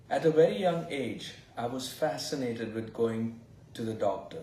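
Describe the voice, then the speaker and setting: A man with an Indian accent, with audible room echo. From India (Goa). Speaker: fertility doctor. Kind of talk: interview.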